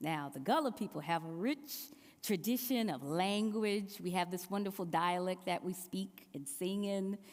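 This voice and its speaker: A woman speaks with a South Carolina Lowcountry accent. Her intonation is lively. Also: medium pitch for a woman, moderate pace. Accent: Southern, South Carolina Low Country. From US South, South Carolina Low Country. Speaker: preacher. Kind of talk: sermon.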